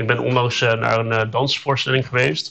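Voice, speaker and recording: Speaking at a fairly slow pace, a man with a medium pitch holds a monotone, flat intonation and shows vocal fry. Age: 30s. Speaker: communications adviser, hard of hearing. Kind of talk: casual interview. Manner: hesitant, many fillers.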